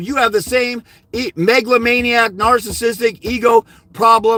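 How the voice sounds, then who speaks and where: A man shouts in an extremely high pitch, his voice raised and projected, with a bright, sharp, animated tone. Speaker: fathers' rights custody advisor. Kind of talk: live stream Q&A. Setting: live on YouTube. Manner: loud, yelling.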